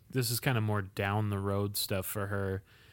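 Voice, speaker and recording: In a very clean recording with a silent background, a man uses a normal speaking voice, fairly low in pitch, at a moderate pace. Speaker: podcast host. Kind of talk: casual chat.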